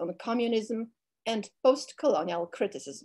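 An unremarkable speaking voice with lively intonation goes at a moderate pace over a quiet background. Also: woman. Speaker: cultural affairs director. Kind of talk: formal introduction. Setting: video call.

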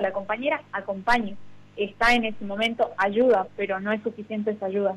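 A woman speaks very fast in a fairly high voice, her intonation staying fairly even. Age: 20s. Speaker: provincial legislator. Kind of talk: radio interview.

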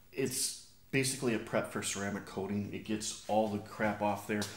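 The speech moves at a moderate pace. Light background noise and audible room echo are present. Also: man. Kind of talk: tutorial. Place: garage. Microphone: camera far.

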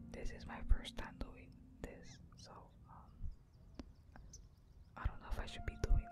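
Whispering at a moderate pace, a man leaves long, frequent pauses as his loudness swings widely. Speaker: ASMR content creator. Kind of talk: ASMR trigger demonstration. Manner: whispered, soft. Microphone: studio mic.

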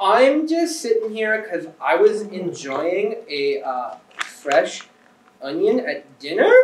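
The pace is very slow. Audible room echo surrounds the voice. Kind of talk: comic performance reading. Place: stage. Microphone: camera far.

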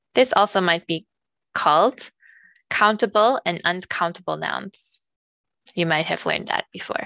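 A woman's medium-pitched voice with an American accent, bright and sharp in tone, with vocal fry, ordinary pitch variation, and a dry, close sound free of echo. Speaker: ESL teacher. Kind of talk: ESL textbook listening read. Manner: slow, clear.

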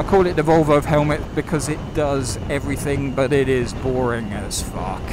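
At a fairly slow pace, a man talks in a dry sound with no echo, with noticeable background noise behind him. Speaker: motorcycle rider reviewer. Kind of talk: casual vlog chat. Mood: relaxed, upbeat. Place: motorbike. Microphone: helmet.

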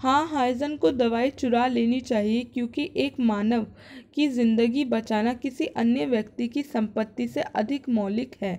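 On a very clean recording with a silent background, a woman with a high pitch and a dark, mellow tone speaks at a very slow pace with hardly any pauses and ordinary pitch variation. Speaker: educational YouTuber. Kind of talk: tutorial.

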